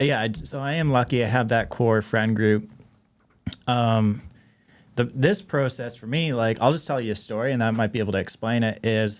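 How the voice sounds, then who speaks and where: A man with a slight Canadian accent and medium pitch talks at a moderate pace with ordinary pitch variation. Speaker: DJ and marketing expert. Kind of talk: casual interview chat.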